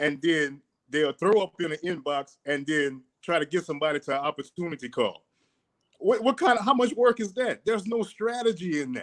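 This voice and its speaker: A man with a strong south Louisiana accent talks fairly quickly at a high pitch, his intonation lively. The sound is dry and close, with no echo. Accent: strong south Louisiana accent, unchanged. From Louisiana, Cecilia near Lafayette. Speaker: fitness and mindset guest. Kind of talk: casual interview on a livestream. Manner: animated.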